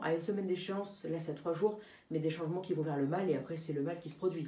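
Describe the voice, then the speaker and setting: Amid audible room echo, a woman talks very fast at a fairly low pitch with ordinary pitch variation. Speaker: amateur weather forecaster. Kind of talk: weather forecast vlog. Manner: halting, many fillers.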